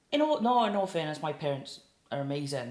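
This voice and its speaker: A woman with a South Wales accent, in audible room echo. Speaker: singer-songwriter. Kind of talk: casual interview chat.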